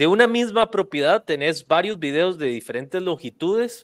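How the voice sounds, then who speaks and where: A man speaks with lively intonation. The background is quiet. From Costa Rica. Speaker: real estate video marketing podcast host. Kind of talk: casual interview. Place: studio. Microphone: studio mic.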